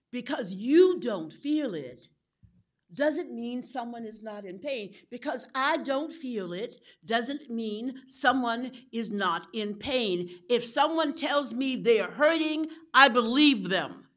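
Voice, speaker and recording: A woman speaks with a high pitch and lively intonation. Her pace is very slow. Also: big swings in loudness. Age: 60s. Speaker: clergy member. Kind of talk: panel discussion. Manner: impassioned.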